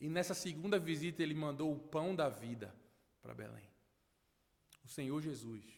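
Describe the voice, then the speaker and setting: In a northeastern Brazilian accent, a man with a fairly high pitch speaks at a moderate pace with lively intonation and long, frequent pauses. Audible room echo surrounds his voice. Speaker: pastor. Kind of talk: sermon. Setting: church.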